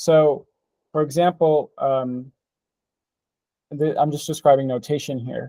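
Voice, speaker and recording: Dry and close with no echo, this recording has a man talking fairly slowly in a dark, mellow tone, fairly high in pitch for a man, with fairly even intonation. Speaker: paper presenter at a reading group. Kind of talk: technical presentation with discussion. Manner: halting, many fillers and restarts.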